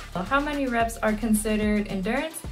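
A woman's moderately paced speech, with ordinary pitch variation, is backed by faint music. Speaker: home fitness instructor. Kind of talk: tutorial. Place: home room. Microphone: phone near.

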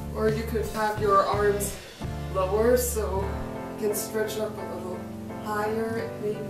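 Over clear background music, a woman speaks at a fairly slow pace with long, frequent pauses, in audible room echo. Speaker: professional dancer and fitness instructor. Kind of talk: stretching tutorial talk to camera. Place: home room. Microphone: camera far.

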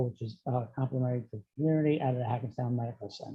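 A man with an American accent speaks at a medium pitch in a somewhat breathy voice. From New Jersey, Essex County. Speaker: political candidate. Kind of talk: candidate statement. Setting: video call.

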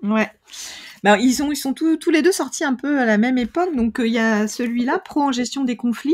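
A woman speaks at a fairly quick pace in a high voice with ordinary pitch variation, recorded very cleanly against a silent background. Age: 50s. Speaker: author, speaker and human relations trainer. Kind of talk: casual interview. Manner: energetic; hesitant, many fillers.

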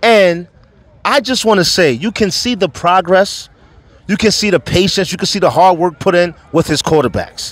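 A man's high-pitched, animated voice with a New York accent over noticeable background noise. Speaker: youth sports podcast host. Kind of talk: post-game interview.

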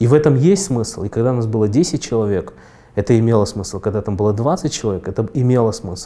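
The voice moves at a fairly quick pace, with lively intonation and a dark, mellow tone. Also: man. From Kyrgyzstan. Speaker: entrepreneur; interviewee. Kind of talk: interview monologue. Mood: calm, thoughtful, mildly ironic. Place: studio. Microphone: lapel.

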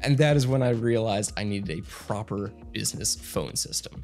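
A man at a moderate pace with faint music in the background. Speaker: tech reviewer. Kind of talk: product review commentary. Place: studio. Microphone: studio mic.

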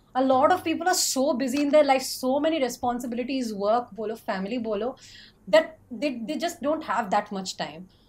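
A woman's high voice, fairly quick with lively intonation. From India. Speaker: book YouTuber. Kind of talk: casual chat. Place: home room.

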